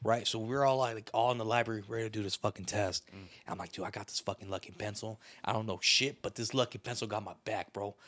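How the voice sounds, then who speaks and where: The man's voice is fairly low and his tone is animated, with hardly any pauses. The recording is very clean, with a silent background. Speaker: podcast host. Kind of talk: casual comedic banter. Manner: loud, animated, profane.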